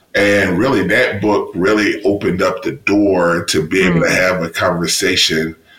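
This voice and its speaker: A man with a Mississippi accent at a moderate pace, over noticeable background noise. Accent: Southern US (Mississippi). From US South, Mississippi. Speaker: university diversity officer and professor. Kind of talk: interview.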